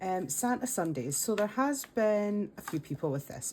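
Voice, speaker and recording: Her tone dark and mellow, a woman speaks at a moderate pace with lively intonation. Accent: Scottish. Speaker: budgeting content creator. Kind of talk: casual talk to camera.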